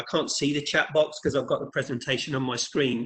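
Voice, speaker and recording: A bright, sharp tone comes through with an English accent. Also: man. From England. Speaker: leadership trainer. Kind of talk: webinar presentation. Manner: halting, with many repeated words.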